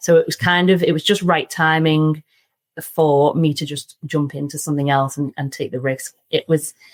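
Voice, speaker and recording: With a Liverpool accent, a woman speaks at a moderate pace in a very deep, low pitch, with fairly even intonation and a dry, close sound with no echo. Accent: Liverpool (Scouse). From Liverpool, England. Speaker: surveying firm director. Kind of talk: podcast interview. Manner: casual, many fillers.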